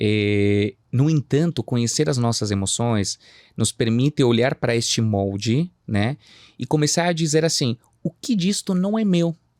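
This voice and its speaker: Speaking at a fairly slow pace with a slight Chilean accent, a man with a medium pitch and lively intonation is heard in a very clean recording with a silent background and a dry, close sound with no echo. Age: 30s. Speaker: psychoanalyst. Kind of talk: podcast interview.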